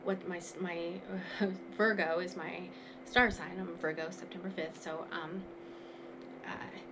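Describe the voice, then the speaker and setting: A woman speaks at a very slow pace, her voice pitched fairly low. The room echo is audible, and background noise is noticeable. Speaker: tarot card reader and recovery guide. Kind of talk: oracle card reading monologue. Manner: casual, filler-heavy.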